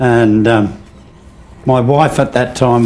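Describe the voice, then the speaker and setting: Speaking with an Australian accent, a man keeps a medium pitch and a fairly slow pace. His intonation is fairly even, and room echo is audible. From Sydney, Australia. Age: 90s. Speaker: navy veteran, former clearance diver. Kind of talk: interview. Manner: halting, with frequent fillers.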